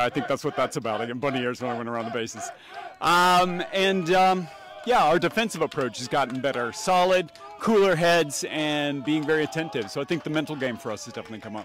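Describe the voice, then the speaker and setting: Speaking at a very fast pace with lively intonation, a man comes through with a dry sound with no echo and light background noise. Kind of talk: interview answer. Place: stadium. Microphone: handheld.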